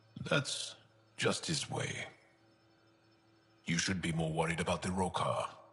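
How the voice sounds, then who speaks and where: A man's very deep, low put-on character voice at a moderate pace, broken by long, frequent pauses. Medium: video game. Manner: relaxed, candid.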